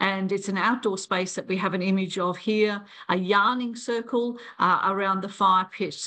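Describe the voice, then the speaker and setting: A woman with an Australian accent, at a moderate pace and with fairly even intonation. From Australia, Brisbane. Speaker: president of an international library association. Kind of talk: online town hall presentation. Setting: video call. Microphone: video call.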